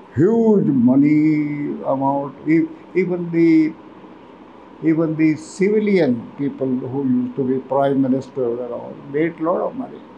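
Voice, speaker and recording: Fairly slow speech with lively intonation over noticeable background noise. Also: man, fairly high pitch for a man. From Lahore, Pakistan. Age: 80s+. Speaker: army veteran. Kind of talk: interview. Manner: halting.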